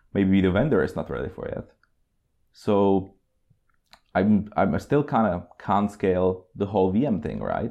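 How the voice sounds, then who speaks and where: Speaking with a Czech accent, a man keeps a moderate pace against a quiet background. His fairly low voice has a dark, mellow tone. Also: long, frequent pauses. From Czech Republic. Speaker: cloud consultant. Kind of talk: casual interview. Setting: on location at a company office.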